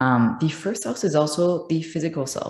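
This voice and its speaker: With a French accent, a woman speaks in a dark, mellow tone at a moderate pace and with ordinary pitch variation. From France. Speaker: astrologer. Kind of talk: astrology tutorial monologue. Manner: many filler ums.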